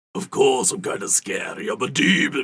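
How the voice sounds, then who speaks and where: The speaker uses a raspy, put-on character voice. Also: man. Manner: scary, menacing.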